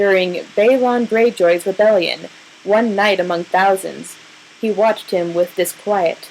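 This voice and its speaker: Over noticeable background noise, a woman speaks at a medium pitch and a fairly slow pace, with fairly even intonation and very even loudness. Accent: American. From New Mexico. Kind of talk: book passage reading.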